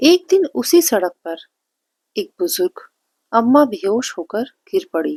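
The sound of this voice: A woman talks at a fairly slow pace, her pitch fairly high with big swings. Her tone is dark and mellow with a slightly husky edge, and the sound is dry and close with no echo.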